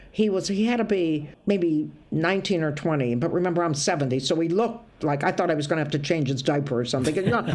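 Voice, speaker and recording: Speaking at a very fast pace with hardly any pauses, a woman with a Midwestern accent uses a fairly low pitch, lively intonation and very even loudness, with audible room echo in the recording. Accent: American (Midwest). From US Midwest, Toledo, Ohio. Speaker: stand-up comedian. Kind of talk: casual interview chat. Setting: video call. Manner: animated storytelling.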